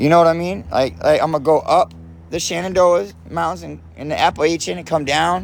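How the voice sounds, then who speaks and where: The speaker talks loudly in an American accent. The pace is fairly quick. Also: man, very clean recording, silent background. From South Florida (Lake Worth, Palm Beach). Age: 40s. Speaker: livestreamer. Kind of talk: casual livestream chat. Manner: animated.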